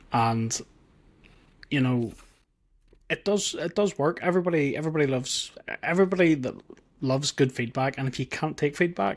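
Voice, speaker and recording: In a very clean recording with a silent background, a man with a Northern Irish accent uses lively intonation and takes long, frequent pauses. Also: fairly high pitch for a man. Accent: Northern Irish, noticeable twang. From Northern Ireland. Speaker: tech YouTuber. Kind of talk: interview. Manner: casual, repetitive with restarts.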